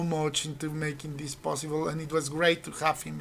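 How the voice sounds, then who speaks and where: Over noticeable background noise, a woman speaks at a fairly quick pace with a very deep, low pitch. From Colombia. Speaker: university finance teacher and trader. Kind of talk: casual chat.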